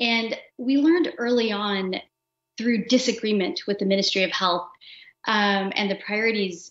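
Audible room echo and a quiet background surround a voice moving at a moderate pace with ordinary pitch variation. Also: woman. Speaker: engineer working on health sensing technology. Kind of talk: interview answer. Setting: virtual livestream, remote call. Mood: calm, reflective. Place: home room. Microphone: video call.

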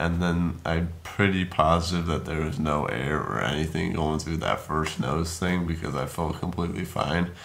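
A mumbling man with a very deep, low pitch and ordinary pitch variation. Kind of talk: casual vlog chat. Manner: groggy, slurred post-surgery mumble. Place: home room. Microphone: phone near.

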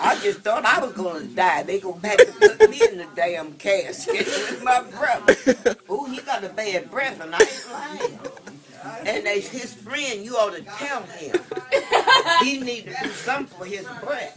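The speaker goes at a fairly slow pace, with very wide pitch swings and big swings in loudness. Noticeable background noise comes through. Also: woman, fairly high pitch for a woman. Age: 70s. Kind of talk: casual family banter. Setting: home, family gathering.

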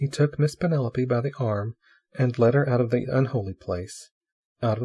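The setting is quiet. The speaker reads aloud in a natural voice, pitch varying in an ordinary way.

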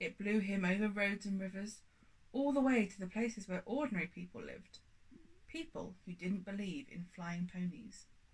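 A woman's medium-pitched, somewhat breathy voice at a moderate pace with ordinary pitch variation. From UK. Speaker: audiobook reader. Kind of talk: children's audiobook reading, storybook narration. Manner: animated, playful storyteller; warm, chatty, cheery. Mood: warm, playful narration. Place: home room.

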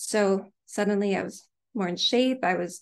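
A Canadian accent against a quiet background. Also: woman. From Canada. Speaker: author; guest. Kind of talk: interview. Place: home room. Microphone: studio mic.

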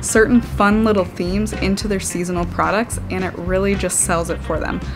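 A woman talks fairly quickly while clear music sounds in the background. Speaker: health coach. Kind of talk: casual vlog chat. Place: home room.

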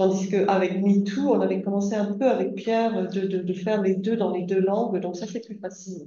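A woman speaks at a moderate pace with hardly any pauses. Room echo is audible. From Britain. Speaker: linguistics academic; speaker. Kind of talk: seminar talk. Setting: seminar room with audience. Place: classroom.

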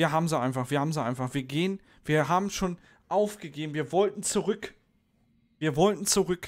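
A man moves at a fairly quick pace with ordinary pitch variation, the background quiet. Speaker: streamer. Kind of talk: casual gaming commentary. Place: home room. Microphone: studio mic.

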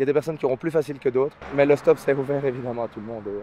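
A man talks at a very fast pace with ordinary pitch variation, in a dry sound with no echo and light background noise. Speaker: travel vlogger hitchhiking. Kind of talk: casual vlog chat. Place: street. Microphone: phone near.

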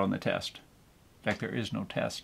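A man with vocal fry speaks at a moderate pace. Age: 60s. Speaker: seasonal Santa performer. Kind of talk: casual talk to camera. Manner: rambling, folksy, hesitant. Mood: relaxed, humorous. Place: kitchen. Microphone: camera far.

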